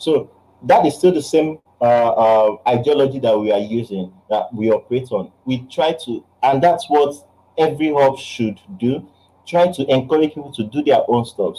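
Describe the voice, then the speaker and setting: A man with a Nigerian accent, a dark, mellow tone, fairly high pitch, a moderate pace and ordinary pitch variation. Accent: Nigerian English (Igbo). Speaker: game designer and publisher. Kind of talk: online talk Q&A.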